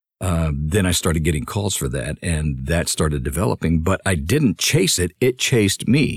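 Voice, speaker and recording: Very deep and low with vocal fry, a man's voice moves with lively intonation at a moderate pace in a dry, close sound with no echo. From Honduras. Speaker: bilingual voice actor. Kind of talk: casual interview chat. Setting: remote call.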